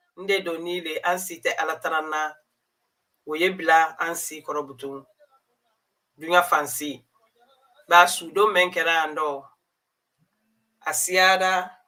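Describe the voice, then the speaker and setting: The speaker has a West African accent and a fairly slow pace. Long, frequent pauses break up the speech. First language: Mandinka. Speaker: community news presenter. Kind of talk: live news commentary. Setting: live stream.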